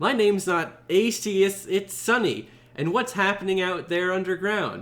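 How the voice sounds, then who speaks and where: A man speaks at a moderate pace in a put-on character voice pitched high for a man. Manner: accusing.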